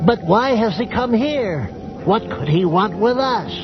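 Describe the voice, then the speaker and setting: A man's high-pitched, put-on character voice at a fairly slow pace, over loud background music. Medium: audio drama. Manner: nervous, subservient.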